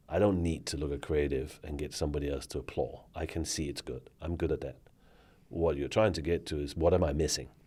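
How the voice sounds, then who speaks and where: A man with a Danish accent speaks in a very deep, low pitch and a dark, mellow tone, with vocal fry and fairly even intonation on a very clean recording with a silent background. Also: fairly quick pace. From Denmark. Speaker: former bank marketing executive. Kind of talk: interview conversation. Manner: hesitant with fillers.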